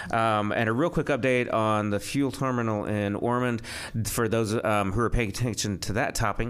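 Against noticeable background noise, a man with a medium pitch speaks fairly quickly with fairly even intonation. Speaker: radio host. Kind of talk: casual chat. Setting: studio.

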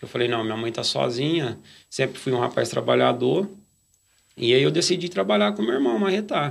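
A man speaks at a moderate pace in a medium pitch, his voice swinging very widely in pitch and showing vocal fry. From Brazil, interior of São Paulo state (Nuporanga/Brodowski). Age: 40s. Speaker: church lay worker. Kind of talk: testimony. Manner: halting, frequent fillers.

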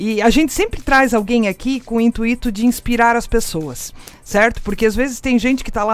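Noticeable background noise sits under a woman's animated, fairly high voice as she talks at a very fast pace. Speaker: radio host. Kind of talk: casual interview.

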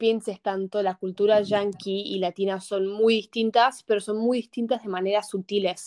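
At a moderate pace, a woman talks at medium pitch in a monotone, flat intonation, recorded dry and close with no echo. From US Northeast and Buenos Aires, Argentina. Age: young. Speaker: student. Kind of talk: casual chat.

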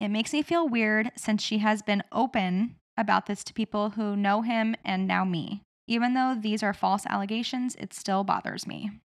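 A woman's normal speaking voice, fairly high in pitch, at a moderate pace with fairly even intonation. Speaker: podcast host. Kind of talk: casual chat.

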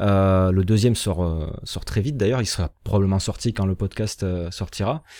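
Dark, mellow tone from a man at fairly low pitch, moderate pace and ordinary pitch variation, on a very clean recording with a silent background. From southwest France (Béarn). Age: 30s. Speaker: former teacher turned video producer. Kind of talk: interview. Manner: hesitant, many fillers and repetitions.

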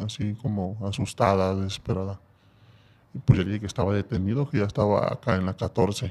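His pitch fairly low, this man speaks with ordinary pitch variation. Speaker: former prisoner. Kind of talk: personal testimony in casual interview.

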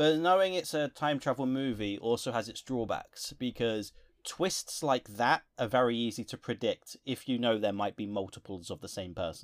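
Heard dry and close with no echo in a very clean, silent recording, a man with an English accent speaks at a moderate pace and medium pitch, with lively intonation and hardly any pauses. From England. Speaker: film review podcast co-host. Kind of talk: casual chat.

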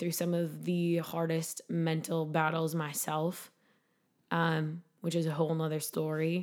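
Recorded very cleanly against a silent background, a woman speaks at a fairly slow pace. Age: 20s. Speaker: bikini competitor and nutrition shop owner. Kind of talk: interview conversation.

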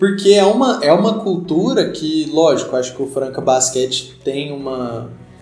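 Amid noticeable background noise and audible room echo, a man with a fairly high pitch talks at a moderate pace with lively intonation and hardly any pauses. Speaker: podcast host. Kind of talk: casual chat.

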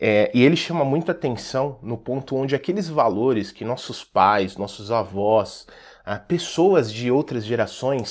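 On a very clean recording with a silent background, a man with an ordinary speaking voice talks at a fairly slow pace, medium in pitch with lively intonation. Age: 30s. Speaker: leadership coach. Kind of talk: talk to school staff.

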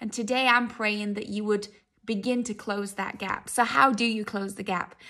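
A woman speaks fairly quickly at a fairly high pitch, her tone bright and sharp yet warm, with monotone, flat intonation. The recording is very clean with a silent background. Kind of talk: fervent intercessory prayer closing a teaching. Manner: earnest, heartfelt and pleading, with a warm pastoral tone.

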